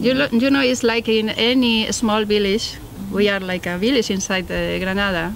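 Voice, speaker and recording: A woman with a Spanish accent at a moderate pace over noticeable background noise. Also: medium pitch for a woman, ordinary pitch variation. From Spain, Valladolid. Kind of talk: documentary interview. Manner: halting.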